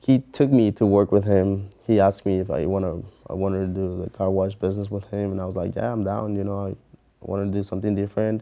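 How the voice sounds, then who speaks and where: The voice is dark and mellow, with a Mexican accent. It moves at a very fast pace, its intonation fairly even. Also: man, fairly low pitch for a man. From Mexico. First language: Spanish. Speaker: mortgage loan officer. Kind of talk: interview answer.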